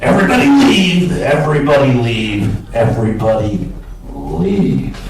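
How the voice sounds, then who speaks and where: A man puts on a character voice with a fairly high pitch. Loud background noise and a slight echo are present. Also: moderate pace. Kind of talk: courtroom speech. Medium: stage play. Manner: cold, formal, unsmiling.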